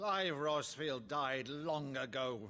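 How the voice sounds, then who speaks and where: A man puts on a character voice. It is raspy and fairly high-pitched. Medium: video game. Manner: imperious, theatrical.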